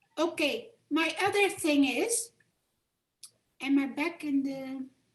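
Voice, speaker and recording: A woman with a Dutch accent speaks very slowly in a high voice with lively intonation. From Netherlands, Amsterdam. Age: 70s. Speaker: Holocaust survivor, audience member. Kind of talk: Q&A remarks at a talk. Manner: halting.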